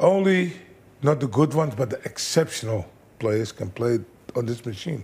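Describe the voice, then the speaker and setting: A somewhat breathy voice at a moderate pace. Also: man. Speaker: kickboxing trainer. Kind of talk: interview.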